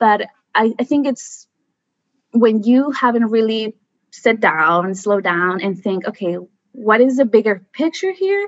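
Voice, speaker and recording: A woman's fairly high voice with an American accent, lively intonation and a fairly slow pace. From Mexico, US border area. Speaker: environmental scientist. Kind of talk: casual interview. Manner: animated.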